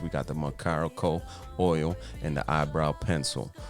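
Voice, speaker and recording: A man with a very deep, low pitch, a playful tone and ordinary pitch variation, with music in the background. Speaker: boyfriend doing comedic voiceover. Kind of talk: comedic voiceover narration of makeup video. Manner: playful, joking.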